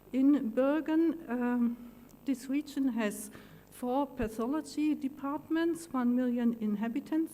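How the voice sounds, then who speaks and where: A dark, mellow voice speaks at a fairly slow pace with a German accent. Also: woman. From Germany. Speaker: pathologist. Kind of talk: conference talk.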